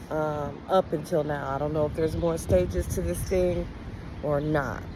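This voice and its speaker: Over noticeable background noise, a woman speaks in a very deep, low voice. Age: 40s. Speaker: spiritual vlogger. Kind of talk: personal testimony. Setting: outdoors. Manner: casual, with frequent ums.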